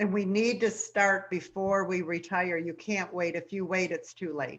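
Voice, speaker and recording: A woman uses an ordinary speaking voice at a medium pitch. She keeps a moderate pace and fairly even intonation. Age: 60s. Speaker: radio host and retirement coach. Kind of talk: radio interview.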